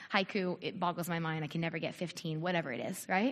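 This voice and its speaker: At a moderate pace, a woman talks in a somewhat breathy voice. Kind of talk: church talk. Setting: church with audience.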